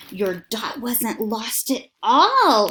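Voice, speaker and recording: A woman's put-on character voice, fairly high in pitch, with lively intonation. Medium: read story. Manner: calm, kindly.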